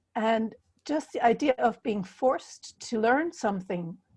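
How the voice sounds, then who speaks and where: A woman with a German accent speaks at a fairly slow pace, somewhat breathy, with ordinary pitch variation. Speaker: healer and puzzle author. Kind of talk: interview. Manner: halting.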